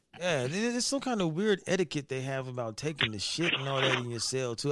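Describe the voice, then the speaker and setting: A man talking at a fairly quick pace with very wide pitch swings over noticeable background noise. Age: 40s. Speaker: podcast host. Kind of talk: casual chat. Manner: animated.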